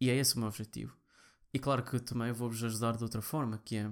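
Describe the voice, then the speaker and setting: The recording is very clean, with a silent background. Speaking in a European Portuguese accent at a moderate pace, the voice stays monotone and flat. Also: man. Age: 20s. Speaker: podcast host, programmer. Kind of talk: personal monologue. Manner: halting.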